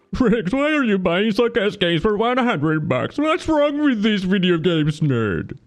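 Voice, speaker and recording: Putting on a character voice, a man talks at a moderate pace with hardly any pauses, his high pitch swinging very widely while his loudness stays very even. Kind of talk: taunting, sarcastic. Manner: mocking.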